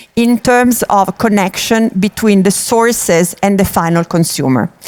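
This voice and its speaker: With an Italian accent, a woman speaks at a fairly slow pace with ordinary pitch variation in a dry, close sound with no echo. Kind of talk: conference talk.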